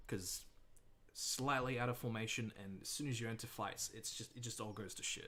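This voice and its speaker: The voice is bright and sharp in tone, with an American accent. A man talks at a moderate pace and medium pitch. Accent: mild Australian, half American. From Australia. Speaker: gaming streamer. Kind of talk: casual livestream commentary.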